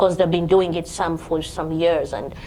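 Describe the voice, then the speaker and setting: A woman speaks at a moderate pace with a fairly low pitch. Background noise is noticeable. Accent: Ugandan. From Uganda. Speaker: home care business owner. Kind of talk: panel talk at networking event. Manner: lively, bubbly.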